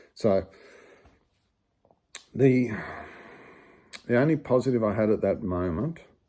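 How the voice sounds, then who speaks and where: A man's medium-pitched voice with an Australian accent, a dark, mellow tone, ordinary pitch variation and long, frequent pauses. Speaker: amateur ultramarathon runner. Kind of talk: casual storytelling to camera. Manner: humorous, conversational.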